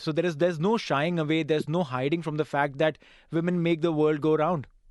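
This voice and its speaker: This man speaks with a Gujarati accent at a very fast pace and fairly high pitch. His intonation is fairly even over a quiet background. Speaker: radio host. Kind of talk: interview.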